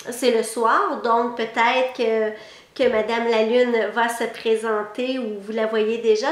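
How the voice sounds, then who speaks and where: A woman speaks at a very slow pace with a fairly high pitch. Her intonation stays fairly even, and audible room echo surrounds it. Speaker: psychic lecturer. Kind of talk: online lecture.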